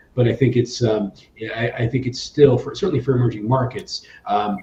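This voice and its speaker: Over noticeable background noise, a man with an American accent speaks at a medium pitch. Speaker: emerging markets hedge fund manager. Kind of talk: panel discussion. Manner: halting, many fillers and restarts.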